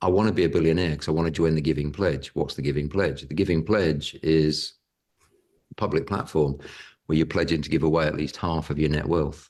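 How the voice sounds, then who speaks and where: A man with a British accent speaks at a very deep, low pitch and a fairly quick pace. His intonation stays fairly even over a quiet background. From Britain. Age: 60s. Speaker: property investor and educator. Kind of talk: podcast interview.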